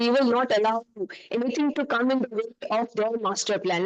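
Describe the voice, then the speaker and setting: Against noticeable background noise, a woman with a fairly high pitch speaks at a fairly quick pace, using ordinary pitch variation. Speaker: urban planning consultant. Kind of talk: panel presentation. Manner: loud.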